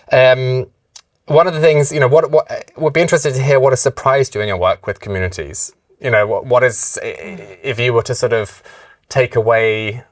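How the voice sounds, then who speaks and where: A man talks with a British accent. His voice is somewhat breathy, with ordinary pitch variation. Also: medium pitch for a man, fairly quick pace. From UK. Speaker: webinar moderator. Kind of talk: webinar Q&A discussion.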